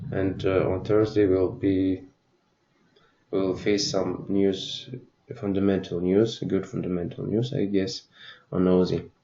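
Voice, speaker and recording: Somewhat breathy and fairly low in pitch, a man speaks with long, frequent pauses. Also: ordinary pitch variation, fairly slow pace. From Russia. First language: Russian. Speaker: forex trader. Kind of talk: tutorial. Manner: halting.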